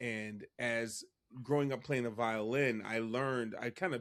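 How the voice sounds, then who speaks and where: On a very clean recording with a silent background, a man speaks in a normal speaking voice at medium pitch with ordinary pitch variation. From US Northeast, Philadelphia. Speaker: music professor and choir director. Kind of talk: interview conversation.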